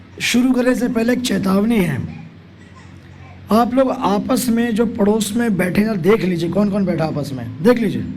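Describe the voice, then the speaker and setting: The voice has ordinary pitch variation, with audible room echo and noticeable background noise. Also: man, high pitch for a man. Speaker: preacher. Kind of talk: sermon. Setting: camp hall with audience. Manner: interactive, questioning audience.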